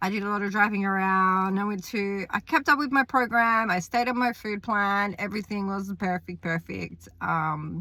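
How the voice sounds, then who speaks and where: A woman with a New Zealand accent, medium pitch, bright, sharp tone, ordinary pitch variation, moderate pace and hardly any pauses, on a very clean recording with a silent background. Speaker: fitness coach and vlogger. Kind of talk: casual vlog talk. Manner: casual, some hesitations.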